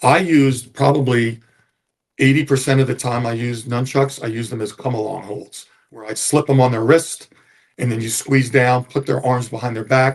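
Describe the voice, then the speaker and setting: At a fairly quick pace, a man talks in a medium pitch with fairly even intonation and a somewhat breathy sound. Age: 70s. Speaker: retired police officer. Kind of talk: interview storytelling.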